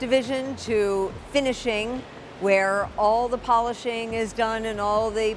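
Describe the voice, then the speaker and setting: Noticeable background noise sits behind a woman's voice. She talks at a fairly slow pace with fairly even intonation. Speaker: factory tour host. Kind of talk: presenter tour commentary. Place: factory. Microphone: lapel.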